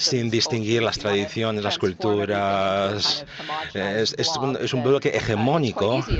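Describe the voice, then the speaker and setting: Noticeable background noise accompanies a man speaking at a fairly slow pace with ordinary pitch variation. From United States. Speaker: conference speaker. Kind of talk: speech.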